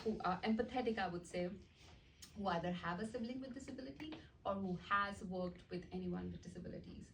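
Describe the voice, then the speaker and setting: Ordinary pitch variation with audible room echo. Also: woman. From India, small town. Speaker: art teacher and nonprofit founder. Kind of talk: presentation. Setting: meeting with audience.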